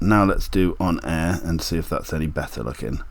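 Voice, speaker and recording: A man's very deep, low pitch with a British accent. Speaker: DIY maker and YouTuber. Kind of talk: tutorial. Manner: casual, thinking aloud.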